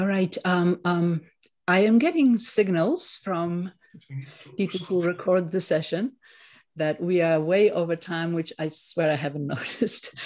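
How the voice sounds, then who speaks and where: A woman with an unremarkable speaking voice talks at a fairly low pitch and a fairly slow pace. Her pitch varies in an ordinary way, over a quiet background. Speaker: professor and translator, panel convener; professor, panel convener. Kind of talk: academic roundtable discussion. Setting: video call. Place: home room. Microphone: video call.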